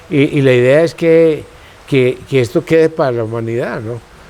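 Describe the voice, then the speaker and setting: A man talks at a moderate pace with a fairly high pitch and ordinary pitch variation. Noticeable background noise sits behind him. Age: 70s. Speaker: botanical garden founder. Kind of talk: interview. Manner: halting.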